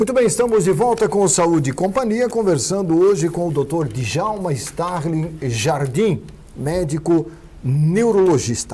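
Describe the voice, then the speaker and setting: A man with a high pitch and lively intonation at a fairly slow pace, with noticeable background noise. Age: 60s. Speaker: TV talk show host. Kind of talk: TV interview.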